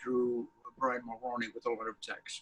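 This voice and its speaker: A man with a Canadian accent and a bright, sharp tone. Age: 70s. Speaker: editorial cartoonist. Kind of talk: interview.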